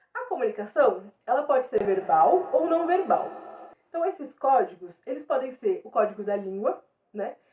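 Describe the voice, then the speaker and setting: Very wide pitch swings mark this woman's high voice. She talks at a moderate pace. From Brazil, São Paulo east zone. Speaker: teacher. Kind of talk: lecture.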